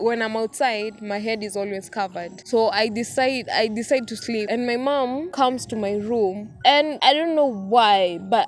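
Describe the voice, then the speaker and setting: Over music in the background, a woman talks at a fairly slow pace in a fairly high voice with ordinary pitch variation. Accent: Kenyan. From Kenya. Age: 20s. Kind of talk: personal story told to camera.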